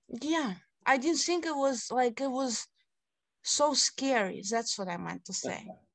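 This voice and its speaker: Over a quiet background, a woman with a Russian accent speaks in a high pitch with lively intonation. Her pace is fairly slow. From Siberia, Russia. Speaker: city council candidate. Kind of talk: interview.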